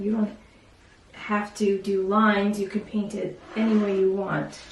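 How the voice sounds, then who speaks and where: The speech moves at a moderate pace with fairly even intonation. Audible room echo and noticeable background noise surround it. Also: woman. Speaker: art teacher. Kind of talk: tutorial.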